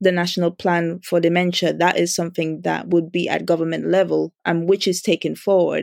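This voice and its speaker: A woman speaks at a moderate pace with a fairly low pitch and monotone, flat intonation. The sound is dry and close, with no echo. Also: very clean recording, silent background. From Dominica. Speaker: charity founder. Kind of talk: interview.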